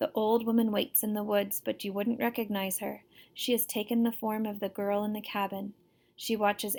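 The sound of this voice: The voice is an unforced reading voice. Its intonation remains fairly even.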